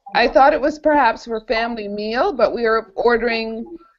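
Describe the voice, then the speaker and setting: A plain, everyday voice from a woman with a fairly high pitch and a fairly quick pace. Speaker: college professor. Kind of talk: online homework help session. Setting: video call.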